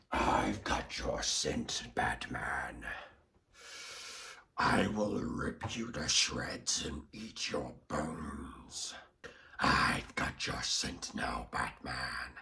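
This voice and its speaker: Growling in a put-on character voice, a man speaks very slowly with a raspy, very deep, low pitch. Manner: menacing.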